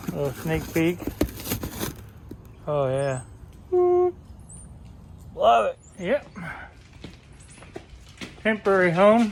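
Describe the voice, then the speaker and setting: A woman talks very slowly, leaving long, frequent pauses, while noticeable background noise carries on behind her. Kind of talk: casual talk to camera.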